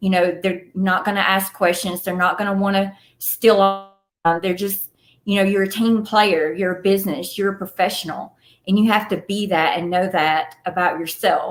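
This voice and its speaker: With a Southern US accent, a woman talks at a moderate pace and a medium pitch. Her intonation is monotone and flat. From Atlanta, Georgia, USA. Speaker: film producer and actress. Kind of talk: podcast interview answer.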